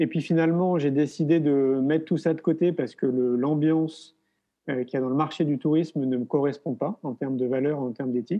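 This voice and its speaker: Here a man speaks at a fairly quick pace. His voice is fairly high in pitch, with fairly even intonation. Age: 40s. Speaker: filmmaker and education event organizer. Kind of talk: interview. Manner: hesitant with fillers.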